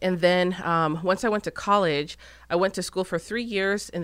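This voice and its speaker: An unremarkable speaking voice with an American accent and ordinary pitch variation, on a very clean recording with a silent background. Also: woman. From Arizona. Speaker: business owner and social media influencer. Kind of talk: interview.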